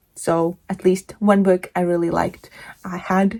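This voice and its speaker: Speaking fairly slowly with a Latvian accent, a woman keeps a medium pitch and fairly even intonation. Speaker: book vlogger. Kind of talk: casual monologue.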